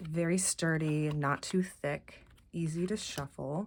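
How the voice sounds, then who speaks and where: Soft-spoken and very deep, low in pitch, a woman speaks at a very slow pace. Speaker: tarot deck reviewer. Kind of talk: casual walkthrough video. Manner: halting, many fillers.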